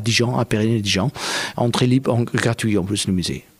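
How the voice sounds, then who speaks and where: Noticeable background noise behind a medium-pitched male voice with fairly even intonation. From Afghanistan. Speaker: kite maker and performer. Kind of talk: interview.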